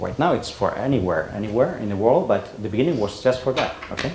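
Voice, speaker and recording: A man with a Spanish accent, medium pitch and lively intonation, amid audible room echo and noticeable background noise. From Spain. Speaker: conference speaker. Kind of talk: presentation. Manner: halting.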